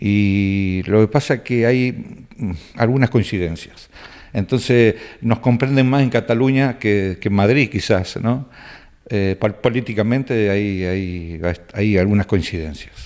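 At a fairly slow pace, a man talks in a fairly low pitch with ordinary pitch variation against a quiet background. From Argentina, Rafaela (Santa Fe); Santa Fe, Argentina. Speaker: cook, emigrant. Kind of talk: interview. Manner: hesitant, many fillers. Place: home room. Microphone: handheld.

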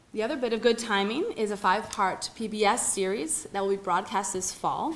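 Pitch varies in an ordinary way while the pace stays moderate. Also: woman. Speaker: event host introducing speaker. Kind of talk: formal introduction speech. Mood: warm, lightly humorous. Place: hall. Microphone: podium.

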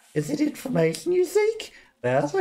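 A man performs in a put-on character voice. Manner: ingratiating, eager.

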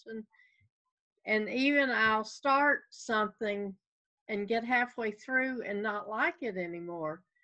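Over a quiet background, a woman speaks with a Southern US accent. Her pitch is fairly high and her pace very slow. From US South. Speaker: hobby stitcher. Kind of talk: casual chat. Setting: video call. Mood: relaxed, friendly. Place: home room. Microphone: video call.

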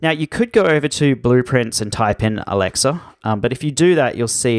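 Dry, close sound with no echo, a man at a moderate pace in an Australian accent. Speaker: online course instructor. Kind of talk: tutorial.

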